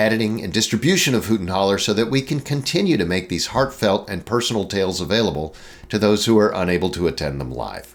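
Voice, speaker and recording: Talking at a very fast pace, a man with a fairly low pitch uses lively intonation and vocal fry. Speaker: TV program host. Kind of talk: program introduction and fundraising appeal.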